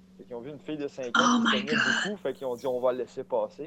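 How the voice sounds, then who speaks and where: Noticeable background noise behind fairly quick delivery. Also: man. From Quebec, Saint-Ours near Sorel. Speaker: podcast guest. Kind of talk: casual chat. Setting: Facebook voice call.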